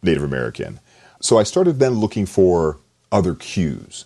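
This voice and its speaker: A man with a very deep, low pitch, vocal fry and lively intonation. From US South. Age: 50s. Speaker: novelist and English professor. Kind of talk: interview.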